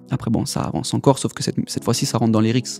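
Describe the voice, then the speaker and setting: A man with a medium pitch speaks while music plays in the background. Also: dry, close sound with no echo. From Paris region, France (Essonne). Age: 20s. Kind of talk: testimony. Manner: casual slangy.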